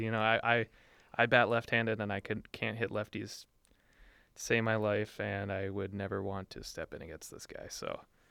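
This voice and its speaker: Against a quiet background, a man with a Minnesotan accent speaks at a moderate pace in a fairly low, flat monotone. His tone is bright and sharp, and his loudness swings a lot. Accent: Minnesota. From Duluth, Minnesota. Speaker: student sports podcast co-host. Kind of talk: casual sports chat. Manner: hesitant, many fillers.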